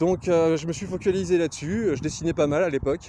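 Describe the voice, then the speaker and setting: A man with a Lorraine accent talks at a moderate pace with ordinary pitch variation over noticeable background noise. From Lorraine, France. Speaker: glassblower. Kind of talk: casual vlog self-introduction. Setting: outdoors on a nature walk. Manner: hesitant, many filler sounds.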